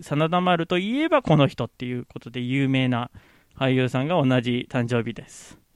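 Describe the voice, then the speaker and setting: A man talks at a moderate pace with ordinary pitch variation. It is a plain, everyday voice. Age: 30s. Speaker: podcaster. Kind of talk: casual solo podcast talk. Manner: casual, frequent laughs.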